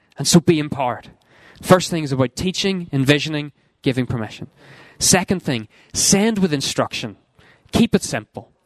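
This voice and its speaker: Lively intonation with a Northern Irish accent at a moderate pace, long, frequent pauses, and a dry, close sound with no echo. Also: man, fairly high pitch for a man. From Northern Ireland. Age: 20s. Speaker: youth ministry worker. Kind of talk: seminar talk.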